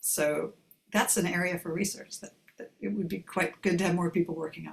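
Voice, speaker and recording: A woman talks at a fairly quick pace with fairly even intonation. Her fairly low pitch carries vocal fry. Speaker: professor. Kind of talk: Q&A in online taster session. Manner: casual, hesitant.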